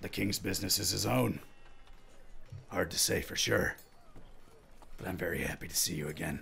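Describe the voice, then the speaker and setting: Using a put-on character voice at a very deep, low pitch, a man speaks with lively intonation at a moderate pace. He leaves long, frequent pauses, with clear background noise behind him. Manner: warm, teasing, reserved on duty.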